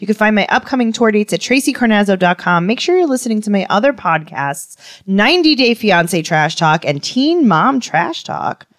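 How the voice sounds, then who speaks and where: A woman with a New York accent, fairly high-pitched with very wide pitch swings, at a moderate pace with hardly any pauses. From Queens, New York. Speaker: podcast co-host and comedian. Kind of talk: casual comedic chat.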